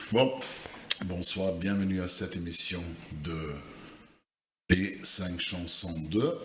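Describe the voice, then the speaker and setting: Amid audible room echo, a man with a non-native accent and a very deep, low pitch speaks at a very slow pace, with ordinary pitch variation and long, frequent pauses. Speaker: podcast co-host. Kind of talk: casual chat. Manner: hesitant, many fillers.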